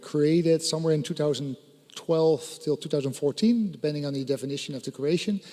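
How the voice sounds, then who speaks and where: A man with a Dutch accent, fairly high pitch and ordinary pitch variation. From Netherlands. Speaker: satellite company executive. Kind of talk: conference panel presentation.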